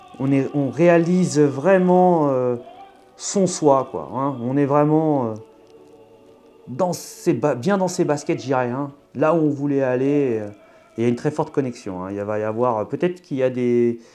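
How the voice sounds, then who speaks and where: With music in the background, a man with a southern French accent speaks at a fairly slow pace with long, frequent pauses, a fairly high pitch and ordinary pitch variation. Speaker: tarot card reader. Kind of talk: astrology tarot reading. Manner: halting, many fillers.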